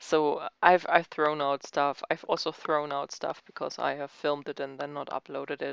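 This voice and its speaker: A woman with a German accent speaks at a very deep, low pitch. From Germany. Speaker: crafting YouTuber. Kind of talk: casual chat. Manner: halting.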